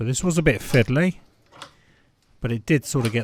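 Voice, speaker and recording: A man speaks with a British accent at a moderate pace. His intonation is lively. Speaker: amateur car DIY vlogger. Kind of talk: tutorial. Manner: casual, conversational.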